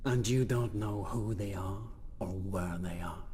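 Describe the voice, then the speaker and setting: A man puts on a character voice with a fairly low pitch, speaking at a fairly slow pace over clear background noise. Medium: video game. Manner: terse, sardonic.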